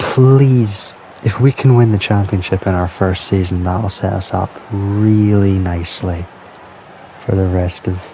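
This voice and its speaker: A quiet man talks at a fairly slow pace with a fairly low pitch and fairly even intonation. Long, frequent pauses break up his speech over noticeable background noise. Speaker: gaming youtuber. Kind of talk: gameplay commentary. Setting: at home at night.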